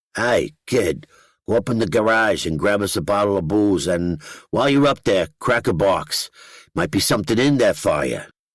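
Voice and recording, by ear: A man uses a put-on, guttural character voice with a fairly low pitch. He moves at a moderate pace with lively intonation.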